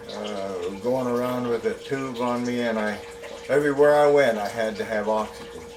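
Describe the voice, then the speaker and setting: Audible room echo and noticeable background noise surround the speech. A man talks at a moderate pace and a medium pitch, with fairly even intonation. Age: 70s. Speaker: patient giving testimonial. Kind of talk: testimony. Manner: halting, many fillers.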